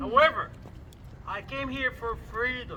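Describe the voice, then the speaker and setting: Over noticeable background noise, a man with an extremely high pitch speaks in a raised, projected voice at a fairly slow pace. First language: not English. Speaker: rally speaker. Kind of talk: public speech.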